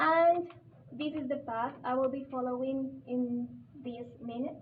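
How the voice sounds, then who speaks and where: A high-pitched woman with a Spanish accent at a fairly slow pace, with audible room echo and noticeable background noise. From Colombia. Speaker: visiting scholar, teacher trainer. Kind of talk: workshop presentation. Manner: halting.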